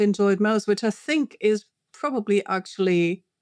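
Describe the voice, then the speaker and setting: The recording is very clean, with a silent background. The speaker has a German accent and ordinary pitch variation. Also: woman. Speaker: linguistics professor. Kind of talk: interview. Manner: hesitant, many fillers.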